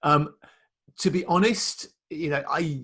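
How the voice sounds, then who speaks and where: A somewhat breathy man with a British accent. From UK. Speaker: print industry consultant. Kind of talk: casual business chat.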